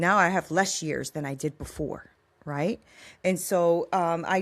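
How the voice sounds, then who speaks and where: This is a normal speaking voice from a woman, fairly low in pitch, with fairly even intonation. She speaks at a fairly slow pace on a very clean recording with a silent background. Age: 50s. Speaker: life coach and author. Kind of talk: interview testimony. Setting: podcast interview.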